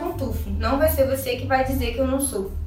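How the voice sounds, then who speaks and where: An animated woman's voice, with audible room echo and noticeable background noise. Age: 20s. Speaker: eyelash extension technician. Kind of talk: vlog rant.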